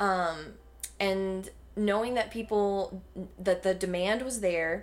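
The speaker has a Southern US accent and talks at a very slow pace. The intonation stays fairly even. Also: woman. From North Carolina, Davie County. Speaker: health coach. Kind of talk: casual interview chat.

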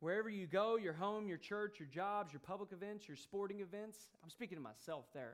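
A man's high-pitched voice in an American accent. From US. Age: 30s. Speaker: preacher. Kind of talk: sermon. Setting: church.

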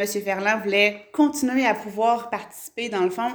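A woman's medium-pitched voice moves fairly slowly, with ordinary pitch variation. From Quebec, Gatineau. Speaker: mayor. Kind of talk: interview. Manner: hesitant, many fillers.

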